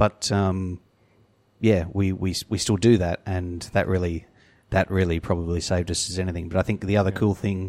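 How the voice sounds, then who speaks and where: Very clean and silent in the background, this recording captures a man with an Australian accent. His pitch is very deep and low, his intonation monotone and flat. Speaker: brewer. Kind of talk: casual chat.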